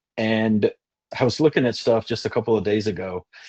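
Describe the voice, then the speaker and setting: A man with a slight Kentucky accent speaks at a fairly low pitch with ordinary pitch variation. The sound is dry and close with no echo, against a quiet background. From Western Kentucky, US. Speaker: insurance agent. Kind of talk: webinar testimony. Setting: video webinar.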